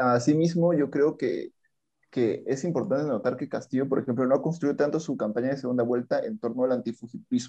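A man with a dark, mellow tone speaks at a fairly quick pace over a quiet background. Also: fairly high pitch for a man, ordinary pitch variation. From southern Peruvian highlands (Andahuaylas). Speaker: law graduate, guest. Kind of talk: casual political discussion.

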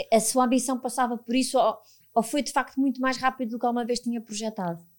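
Very fast, monotone delivery with flat intonation on a very clean recording with a silent background. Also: woman. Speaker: podcast host, HR professional. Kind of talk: interview.

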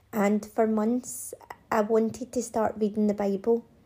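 A woman's fairly high, monotone, flat voice at a fairly slow pace in a very clean recording with a silent background. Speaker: hairdresser and podcast host. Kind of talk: solo monologue podcast.

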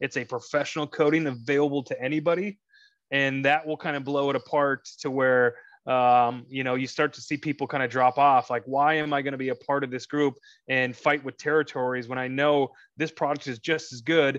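A man with an American accent speaks at a fairly quick pace in a fairly high pitch, his intonation monotone and flat. The sound is dry and close with no echo, over a quiet background. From US Midwest. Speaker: auto detailer. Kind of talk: casual chat. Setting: video call.

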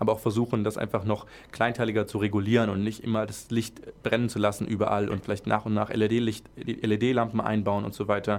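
A man's fairly low, monotone, flat delivery at a fairly quick pace. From Friedrichshafen, southern Germany (Lake Constance). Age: 20s. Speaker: student vice president at a university. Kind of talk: casual interview chat.

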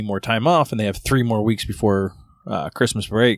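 An ordinary speaking voice: a man with a fairly low pitch and ordinary pitch variation speaks at a moderate pace in a very clean recording with a silent background and a dry, close sound with no echo. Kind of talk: casual banter, profane, comedic podcast chat. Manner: relaxed, conversational.

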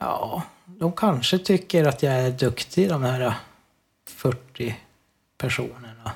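A man's somewhat breathy, very slow speech with lively intonation and long, frequent pauses. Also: medium pitch for a man. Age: 40s. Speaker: amateur musician. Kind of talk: casual interview. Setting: Skype call.

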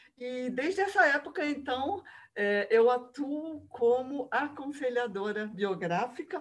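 Very slowly, a woman speaks in a high pitch with lively intonation. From Rio de Janeiro, Brazil. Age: 60s. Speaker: biographical counselor. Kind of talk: interview.

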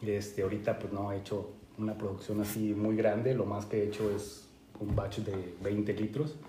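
Speaking with a Mexican accent, a man holds a fairly low, flat, monotone pitch at a moderate pace. Room echo is audible, along with noticeable background noise. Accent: Mexican Spanish (Jalisco). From Mexico, Guadalajara, Jalisco. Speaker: home brewer. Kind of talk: casual chat.

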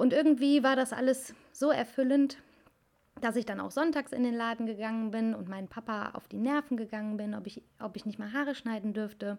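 Talking at a fairly quick pace, a woman uses a plain, everyday voice, fairly high in pitch, with ordinary pitch variation. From Cologne, Germany. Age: 20s. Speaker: hairdresser podcast host. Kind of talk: casual personal monologue.

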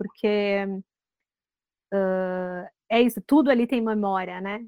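A woman with an unremarkable speaking voice talks at medium pitch with fairly even intonation, in a dry, close sound with no echo. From Rio Grande do Sul, Brazil. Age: 40s. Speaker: screenwriter. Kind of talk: interview.

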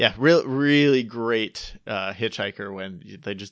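This man has an ordinary speaking voice, with an American accent, medium pitch and a moderate pace. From upstate New York. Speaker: podcast host. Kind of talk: casual chat.

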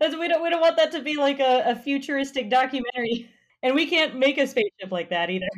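A woman with a high pitch, an American accent, lively intonation and a very fast pace. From Colorado. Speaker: podcast guest. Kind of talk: political discussion podcast.

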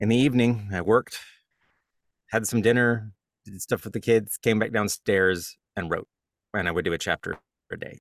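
A man with a fairly low pitch and an American accent speaks at a moderate pace with fairly even intonation and long, frequent pauses. The recording is very clean with a silent background and a dry, close sound with no echo. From US South. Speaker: author and audiobook narrator. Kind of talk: interview. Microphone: studio-quality audio.

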